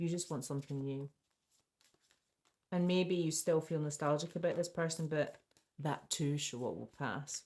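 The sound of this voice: A woman's put-on character voice, mumbling at a very deep, low pitch and a moderate pace, with fairly even intonation and long, frequent pauses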